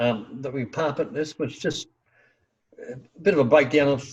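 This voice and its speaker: Fairly high in pitch and somewhat breathy, a man speaks with ordinary pitch variation. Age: 70s. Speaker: healing practitioner and teacher. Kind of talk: interview.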